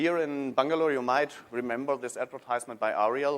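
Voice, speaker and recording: With a German accent, a man talks at a moderate pace in a medium pitch with ordinary pitch variation. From Germany. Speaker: technology consultant. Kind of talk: conference talk. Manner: halting, many fillers.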